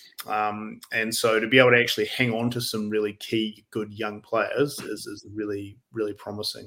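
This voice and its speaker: A man delivers monotone, flat speech at medium pitch and a moderate pace with hardly any pauses, his tone bright and sharp. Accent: New Zealand. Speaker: rugby writer. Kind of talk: casual chat.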